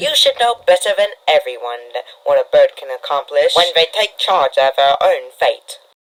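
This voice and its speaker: A man's cartoonish character voice at a moderate pace. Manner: polite, menacing.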